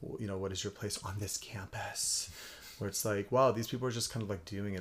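This man has an unremarkable speaking voice, pitched fairly low, with fairly even intonation. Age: 30s. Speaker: magazine founder and editor. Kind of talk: casual chat.

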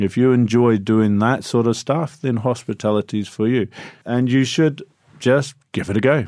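The speaker has a New Zealand accent. Loudness stays very even throughout. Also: man, medium pitch for a man, fairly even intonation, moderate pace. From New Zealand, Christchurch. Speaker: hotel concierge. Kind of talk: interview.

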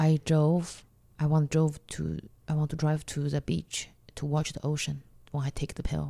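A woman with a Chinese accent speaks in a monotone, flat intonation, her very deep, low pitch carrying a dark, mellow tone. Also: moderate pace. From China. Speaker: comedian. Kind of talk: interview. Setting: in person at host's home.

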